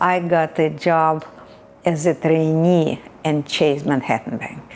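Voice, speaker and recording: At a very slow pace, a woman with a Russian accent speaks in a very deep, low pitch with fairly even intonation. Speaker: immigrant interviewee. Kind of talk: casual interview. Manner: halting.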